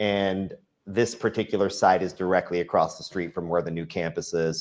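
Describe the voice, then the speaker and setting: With a Texan accent, the speaker goes at a fairly quick pace in a monotone, flat intonation, captured in a very clean recording with a silent background. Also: man. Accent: Texan American English. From Texas, Dallas. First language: Farsi. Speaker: real estate developer. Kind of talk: interview. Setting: live-streamed show. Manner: casual storytelling with fillers.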